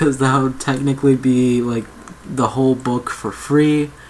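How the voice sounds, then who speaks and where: The speaker is soft-spoken. Noticeable background noise sits behind the voice. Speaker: ASMR reader. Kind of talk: casual intro to camera.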